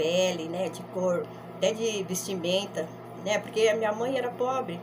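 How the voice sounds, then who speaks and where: Noticeable background noise behind a woman's fairly slow speech with ordinary pitch variation. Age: old. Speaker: grandmother storyteller. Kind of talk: life story told to camera. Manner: casual, conversational.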